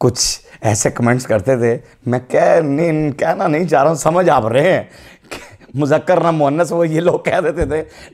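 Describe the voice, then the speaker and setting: At a moderate pace and very even loudness, a man with a fairly high pitch and ordinary pitch variation speaks over a quiet background. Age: 50s. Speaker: comedian. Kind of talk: comedic political commentary. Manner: animated. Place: studio. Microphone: lapel.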